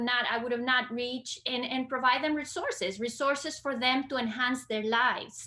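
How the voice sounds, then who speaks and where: A woman with a Costa Rican accent speaks in a high voice with a bright, sharp tone and ordinary pitch variation. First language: Spanish. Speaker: librarian. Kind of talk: interview conversation. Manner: hesitant, many fillers.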